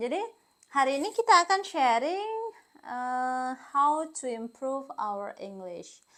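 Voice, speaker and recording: Very slowly, a woman with a high pitch and a bright, sharp tone speaks with very wide pitch swings and big swings in loudness. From Indonesia, Kediri (East Java). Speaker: English teacher. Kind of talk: tutorial. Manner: casual, conversational.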